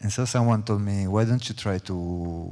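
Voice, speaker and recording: The voice has a dark, mellow tone and ordinary pitch variation in an Italian accent. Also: man. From Italy. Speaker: choreographer. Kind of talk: panel talk. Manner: halting.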